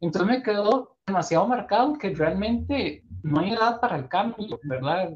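Moving at a moderate pace with hardly any pauses, a man speaks in a high pitch with lively intonation. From Costa Rica. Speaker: podcast host. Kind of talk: casual chat. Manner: animated, laughs often.

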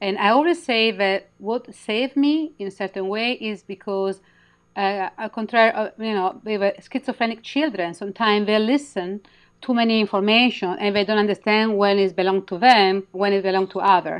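With a strong Italian accent, a medium-pitched woman speaks at a moderate pace with ordinary pitch variation. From Italy; Milan, Italy. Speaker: intuitive healer and author. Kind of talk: interview, conversational, guiding an activation. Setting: video call. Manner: halting, broken English with pauses.

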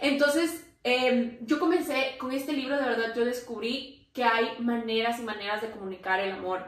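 A woman's high-pitched voice with ordinary pitch variation, moderate pace and hardly any pauses, amid noticeable background noise and audible room echo. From Ecuador, Quito. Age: 30s. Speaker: entrepreneur. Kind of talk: casual chat.

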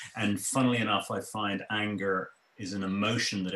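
In an Irish accent, a man with a fairly low pitch speaks at a moderate pace with fairly even intonation. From Ireland. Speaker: economist. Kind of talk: interview. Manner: halting, repeats words.

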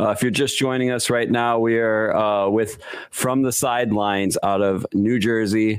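A man with a slight Chicago accent talks at a moderate pace with ordinary pitch variation. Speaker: podcast host. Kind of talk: casual chat.

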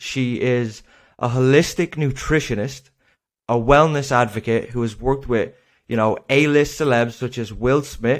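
A man with an Irish accent at medium pitch, moderate pace and fairly even intonation, in a very clean recording over a silent background. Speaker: podcast host. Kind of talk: casual interview chat. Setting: studio.

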